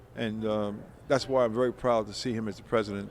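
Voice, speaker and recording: Noticeable background noise sits behind a man's voice. He speaks in an American accent at a fairly quick pace. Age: 70s. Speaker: college alumnus, former basketball player. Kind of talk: interview. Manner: halting, many fillers and restarts.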